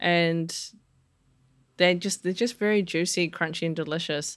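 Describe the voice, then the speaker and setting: On a very clean recording with a silent background, a woman speaks at a moderate pace in a medium pitch. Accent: New Zealand. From New Zealand. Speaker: chef. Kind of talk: interview.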